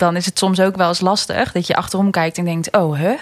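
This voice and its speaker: This woman has a normal speaking voice of medium pitch, moving at a moderate pace with fairly even intonation. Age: 20s. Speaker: entrepreneur, personal development coach. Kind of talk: casual interview.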